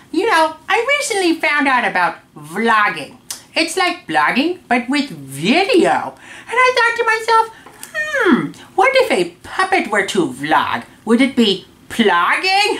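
A cartoonish character voice speaks at a high pitch and a fairly slow pace. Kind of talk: casual talk to camera. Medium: puppet. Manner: upbeat.

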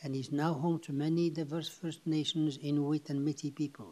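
A man speaks at a moderate pace in a dark, mellow tone with monotone, flat intonation. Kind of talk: formal scripted meeting opening. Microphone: video call.

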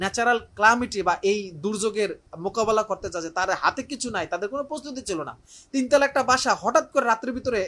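A man speaks in a raised, projected voice, high-pitched, with a bright, sharp tone. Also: ordinary pitch variation. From Barishal, Bangladesh. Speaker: teacher. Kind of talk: live appeal. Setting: room in his home, live stream.

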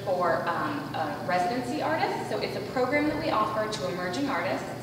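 A woman talks at a fairly quick pace. Strong room echo and noticeable background noise fill the recording. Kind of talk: interview answer. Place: hall.

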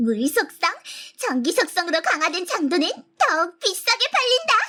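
A put-on character voice at an extremely high pitch moves at a moderate pace with very wide pitch swings. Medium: audio drama. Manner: archaic, commanding speech.

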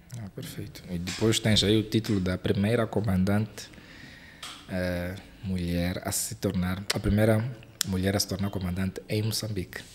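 A man speaks at a fairly low pitch with monotone, flat intonation. Light background noise can be heard. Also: moderate pace. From Mozambique. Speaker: aviation YouTuber and podcast host; aviation YouTuber, podcast host. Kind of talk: interview. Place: studio. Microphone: studio mic.

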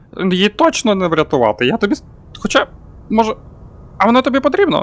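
A man puts on a character voice, pitched high, with very wide pitch swings at a very fast pace. The sound is dry and close with no echo, over light background noise. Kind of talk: comic overacting. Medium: fan dub.

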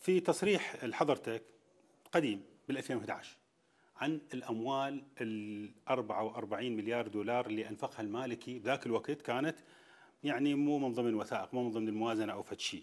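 Ordinary pitch variation marks this man's medium-pitched voice, delivered at a moderate pace. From Iraq. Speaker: TV talk show host. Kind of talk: political interview. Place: hall. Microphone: lapel.

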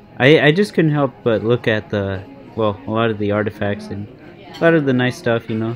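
This man's voice comes with faint music in the background. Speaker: food vlogger. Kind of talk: casual vlog chat. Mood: pleased, relaxed. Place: cafe. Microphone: phone near.

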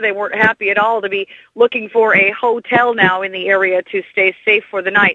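A plain, everyday voice speaks here, keeping its intonation fairly even. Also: woman. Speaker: field reporter. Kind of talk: radio newsreading. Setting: outdoors.

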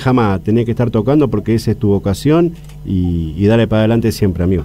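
An Argentine accent carries lively intonation at a very fast pace. Light background noise sits behind the voice. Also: man. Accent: Rioplatense Argentine Spanish. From Argentina. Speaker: keyboardist and arranger; interviewee. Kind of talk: interview. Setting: radio studio. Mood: warm, heartfelt. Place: street. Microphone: handheld.

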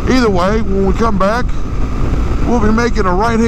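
Speech comes at a moderate pace. The sound is dry with no echo, and there is noticeable background noise. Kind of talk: casual moto vlog chat. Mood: relaxed, enthusiastic about bike. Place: motorbike. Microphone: helmet.

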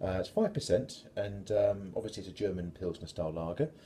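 The voice has a dark, mellow tone and is somewhat breathy. It moves at a fairly quick pace over light background noise. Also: man. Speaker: beer reviewer. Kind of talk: casual vlog chat. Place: home room. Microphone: phone near.

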